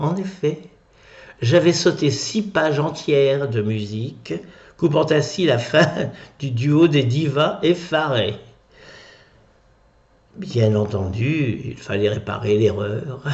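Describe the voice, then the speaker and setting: Speaking very slowly with long, frequent pauses, a man uses a theatrical tone, lively intonation, and a fairly high pitch. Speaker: stage actor and former opera singer. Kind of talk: one-man show storytelling. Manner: theatrical, humorous.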